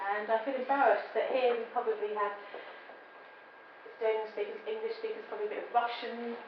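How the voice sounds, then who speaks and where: Amid noticeable background noise and audible room echo, a woman with fairly high pitch speaks at a very fast pace in monotone, flat intonation, with long, frequent pauses and big swings in loudness. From England. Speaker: business consultant and lecturer. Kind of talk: public lecture.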